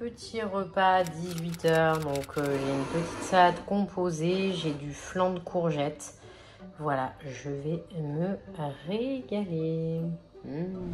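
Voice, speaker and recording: At a very slow pace, a woman talks at a fairly low pitch with ordinary pitch variation. Audible room echo and noticeable background noise fill the recording. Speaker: fitness coach and vlogger. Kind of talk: casual vlog. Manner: soft-spoken.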